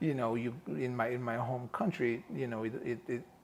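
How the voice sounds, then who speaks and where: A man speaks at a medium pitch and a moderate pace over noticeable background noise. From Macedonia. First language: Macedonian. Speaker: film producer and director. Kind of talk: casual interview. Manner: animated.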